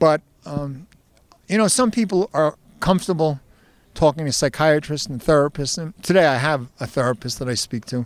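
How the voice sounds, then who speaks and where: Talking at a moderate pace, a man with a New Jersey accent has a fairly high pitch. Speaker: safety speaker, burn survivor. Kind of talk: on-stage interview.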